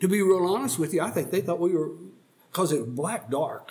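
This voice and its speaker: Speaking with an American accent, a man sounds somewhat breathy, with ordinary pitch variation. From Oklahoma. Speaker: Vietnam War veteran. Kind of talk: elder telling war story in a slow, reflective recounting of life. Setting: podcast studio sit-down interview. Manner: halting, reflective, searching for memories.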